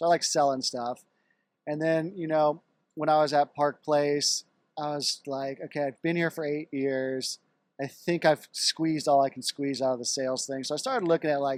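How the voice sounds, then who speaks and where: With an American accent and an ordinary speaking voice, a man speaks at a fairly high pitch and a moderate pace with fairly even intonation, the sound dry and close with no echo. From Texas, Dallas. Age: 40s. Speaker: car dealership entrepreneur. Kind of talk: casual interview chat.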